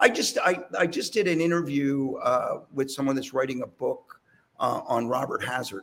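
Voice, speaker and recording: A man at a moderate pace with a Philadelphia accent. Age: 60s. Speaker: rock drummer. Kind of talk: casual chat. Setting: video call.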